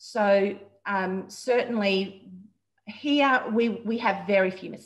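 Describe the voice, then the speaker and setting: A woman with an Australian accent speaks very slowly at a medium pitch, her voice somewhat breathy. Her loudness swings a lot, and the background is quiet. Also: fairly even intonation. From Queensland, Australia. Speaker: dietitian; guest. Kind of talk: interview. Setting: video call. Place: home room. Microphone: video call.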